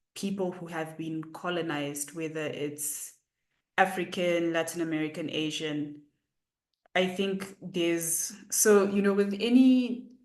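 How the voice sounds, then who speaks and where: Against audible room echo, a woman talks very slowly in a fairly low voice with ordinary pitch variation. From Zimbabwe. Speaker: poet. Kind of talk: author Q&A. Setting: video call.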